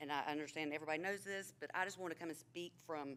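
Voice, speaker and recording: A woman with a North Carolina accent talks very fast in a fairly low pitch, her pitch varying in an ordinary way. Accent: US Southern (North Carolina). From North Carolina, Asheboro area. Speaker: administrative assistant speaking at public comment. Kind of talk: public comment at council meeting. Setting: city council chamber.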